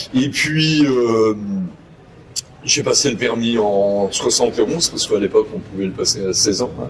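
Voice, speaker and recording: Against noticeable background noise, a man talks at a moderate pace with long, frequent pauses. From Normandy, France. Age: 60s. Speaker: motorcycle dealer and former racer. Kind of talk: interview.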